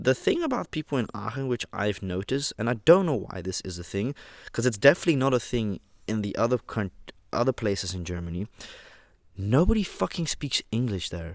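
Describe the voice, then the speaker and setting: A man speaks at a fairly quick pace in a medium pitch with lively intonation, recorded very cleanly against a silent background. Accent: Dutch. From Netherlands, Rotterdam. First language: Dutch. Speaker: vlogger. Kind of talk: casual monologue. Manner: casual, conversational.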